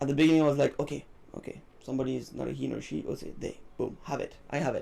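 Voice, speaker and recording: A man speaks with a French accent. He talks very fast. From France or French-speaking region. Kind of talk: casual chat. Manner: halting.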